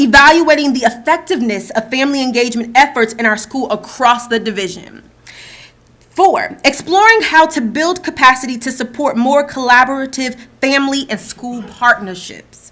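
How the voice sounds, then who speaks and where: A high-pitched woman with a New Jersey accent. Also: ordinary pitch variation, moderate pace. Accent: New Jersey accent, still noticeable. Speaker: school division staff presenter. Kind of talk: board meeting presentation. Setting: school board meeting in boardroom.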